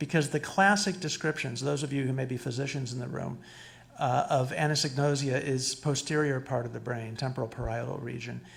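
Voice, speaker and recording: Speaking at a moderate pace with vocal fry, a man uses a fairly high pitch with ordinary variation, and room echo is audible. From Cuba. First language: Spanish. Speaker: psychologist lecturer. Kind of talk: lecture. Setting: stage with audience. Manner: animated, interactive. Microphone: too far from the mic at first.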